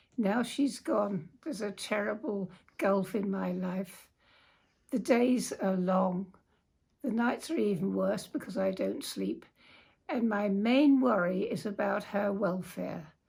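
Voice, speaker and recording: A woman's very slow delivery at medium pitch, with vocal fry and ordinary pitch variation. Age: 90s. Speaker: dog owner, crime victim. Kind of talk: personal appeal.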